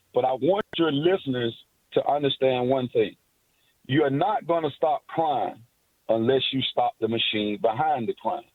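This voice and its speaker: With an American accent, a man speaks at a moderate pace in a fairly high pitch, showing ordinary pitch variation. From Miami, Florida. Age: 60s. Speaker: caller. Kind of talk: call-in talk radio chat. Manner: rambling, long-winded.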